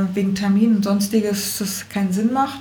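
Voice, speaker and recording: A woman with a Berlin accent speaks at a moderate pace and a medium pitch. Audible room echo and noticeable background noise fill the recording. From Berlin, Germany (Charlottenburg). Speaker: shop owner. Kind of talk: interview.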